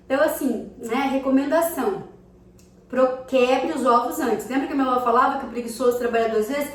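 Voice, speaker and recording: With audible room echo and noticeable background noise, a woman speaks at high pitch and a fairly quick pace with fairly even intonation. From Brazil, countryside. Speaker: cooking vlogger. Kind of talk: casual cooking tutorial. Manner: chatty, conversational.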